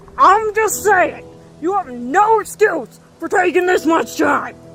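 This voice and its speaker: A put-on character voice moves at a fairly slow pace over clear music in the background. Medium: audio drama. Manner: aggressive, sarcastic.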